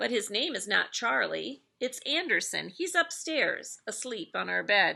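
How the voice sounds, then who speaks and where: A woman's put-on character voice at a moderate pace, with hardly any pauses. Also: fairly high pitch for a woman. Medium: read story.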